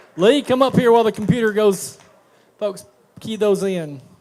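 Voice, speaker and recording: Over crowd noise in the background, a man with a high pitch talks at a fairly slow pace with lively intonation. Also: long, frequent pauses. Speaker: game show host. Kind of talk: live game show hosting. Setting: stage with audience.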